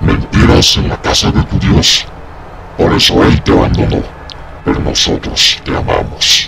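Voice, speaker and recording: Against loud background noise, a man performs a put-on character voice at a moderate pace. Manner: calm, cold, ominous.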